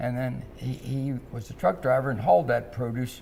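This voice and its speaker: Speaking at a moderate pace, a man with a Midwestern American accent uses a medium pitch with ordinary variation. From US Midwest, Cincinnati, Ohio. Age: 80s+. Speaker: restaurant founder and former boxer. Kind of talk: interview.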